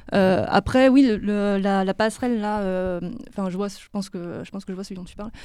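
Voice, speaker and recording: The tone is dark and mellow, with fairly even intonation and a fairly quick pace marked by hardly any pauses. The recording is very clean, with a silent background. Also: woman, medium pitch for a woman. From Lyon, France. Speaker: illustrator. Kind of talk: interview.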